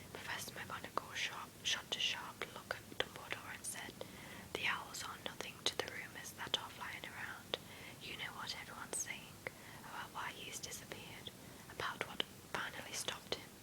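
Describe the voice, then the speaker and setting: Someone whispers at a moderate pace. Background noise is noticeable throughout. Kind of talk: read story. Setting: home with background noise. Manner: whispered.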